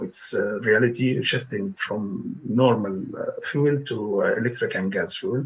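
Noticeable background noise surrounds a man speaking at medium pitch. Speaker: architecture professor. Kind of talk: presentation.

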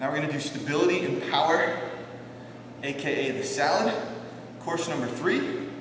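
A man talks at a moderate pace. Noticeable background noise and audible room echo come through. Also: ordinary pitch variation. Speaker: fitness instructor. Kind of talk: tutorial. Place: gym. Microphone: camera far.

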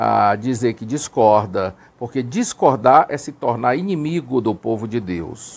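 A man talks at a fairly slow pace. Vocal fry runs through his voice. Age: 50s. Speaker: former Jehovah's Witness elder; Witness. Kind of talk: testimony. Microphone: lapel.

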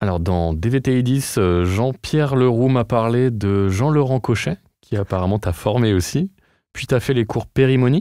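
Against a quiet background, a man talks at a fairly slow pace with lively intonation in a dry sound with no echo. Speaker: podcast host. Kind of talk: casual interview chat. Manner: animated. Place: studio.

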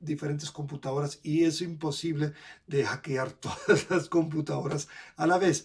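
In a German accent, a man talks at a moderate pace with fairly even intonation. His pitch is fairly high, and the background is quiet. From Germany. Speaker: crypto educator and video creator. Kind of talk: tutorial. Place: home room. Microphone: webcam.

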